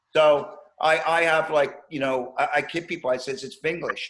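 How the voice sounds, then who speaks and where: This man's voice sits fairly high in pitch. His pace is moderate. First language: Finnish. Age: 60s. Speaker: podcast host, drummer. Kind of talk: casual chat.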